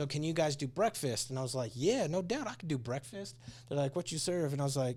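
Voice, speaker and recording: A man's animated, somewhat breathy voice at a fairly high pitch, with a General American accent, ordinary pitch variation and a very fast pace. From Colorado Springs, Colorado. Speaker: food truck and restaurant owner. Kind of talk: casual interview.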